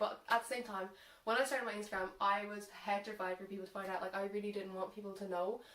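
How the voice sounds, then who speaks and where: A woman with an Irish accent speaks at a very fast pace. Her intonation is monotone and flat, over noticeable background noise. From Ireland. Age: young. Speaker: social media content creator. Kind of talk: casual talk to camera. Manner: unscripted, hesitant.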